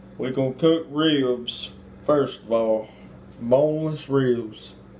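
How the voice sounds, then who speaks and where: Speaking in a Mississippi accent, a man goes at a very slow pace with medium pitch and fairly even intonation. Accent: Southern US (Mississippi). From US South, Mississippi. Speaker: home cook, video host. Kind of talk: cooking tutorial. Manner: casual.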